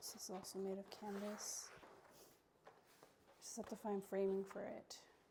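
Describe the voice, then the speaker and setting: A woman's somewhat breathy, dark, mellow voice at medium pitch, moderate pace and monotone, flat intonation. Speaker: artist and vlogger. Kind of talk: casual vlog.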